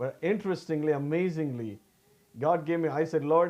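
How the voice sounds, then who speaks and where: Lively in intonation, a man with a Tamil accent talks at a moderate pace and a fairly high pitch. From South India, Tamil-speaking. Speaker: pastor. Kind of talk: sermon. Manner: halting, with restarts.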